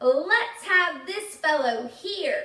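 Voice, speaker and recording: In a put-on character voice, a woman sounds squeaky, with an extremely high pitch and very wide pitch swings. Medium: read story. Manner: hearty, jolly.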